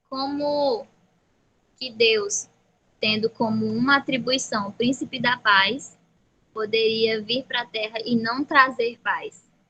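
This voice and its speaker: A woman's bright, sharp tone at fairly high pitch, very slow, with fairly even intonation. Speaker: Bible study teacher. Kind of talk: Bible study lesson.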